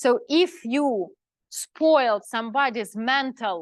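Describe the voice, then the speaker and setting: In a non-native accent, a woman with a high pitch speaks with very wide pitch swings over a quiet background. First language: not English. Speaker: spiritual teacher. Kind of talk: lecture. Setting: live class with audience. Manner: halting.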